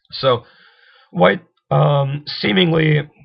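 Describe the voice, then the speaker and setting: A man speaks at a fairly high pitch with vocal fry. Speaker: chess video creator. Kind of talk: tutorial. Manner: halting, many fillers.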